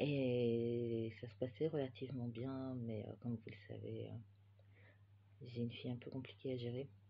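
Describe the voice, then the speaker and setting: At a very slow pace, a somewhat breathy voice speaks with fairly even intonation. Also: man. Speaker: knitting podcaster and yarn dyer. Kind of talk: casual chat. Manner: hesitant, many filler sounds.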